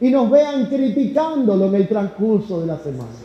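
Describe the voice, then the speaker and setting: In a room with audible echo and noticeable background noise, a man speaks at a high pitch with lively intonation. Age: 30s. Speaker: pastor. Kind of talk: sermon.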